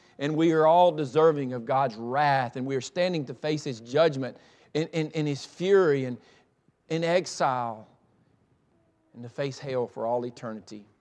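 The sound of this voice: A man speaks at a moderate pace, his pitch medium with ordinary variation. The tone is slightly mellow.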